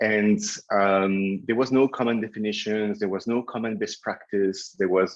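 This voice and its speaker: A man's medium-pitched voice with a strong French accent and ordinary pitch variation. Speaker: keynote speaker, agency founder. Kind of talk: webinar presentation. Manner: hesitant, many fillers.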